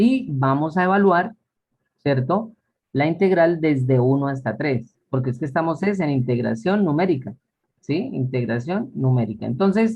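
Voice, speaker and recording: Somewhat breathy, a man talks at a fairly slow pace with a fairly high pitch and lively intonation. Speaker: math teacher. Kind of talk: lecture.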